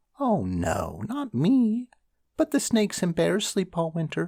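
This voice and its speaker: A put-on character voice, squeaky and pitched in the middle range. It moves at a fairly slow pace. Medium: read story. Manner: chatty.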